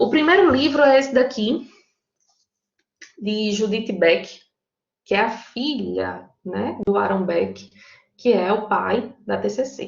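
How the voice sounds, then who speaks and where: A woman speaks at a very slow pace in a strong Paraíba accent. Her speech has long, frequent pauses. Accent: strong Paraíba northeastern Brazilian. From Brazil, Paraíba (João Pessoa). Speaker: psychologist and teacher leading study group. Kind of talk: online lecture to study group. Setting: online video meeting. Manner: conversational, informal.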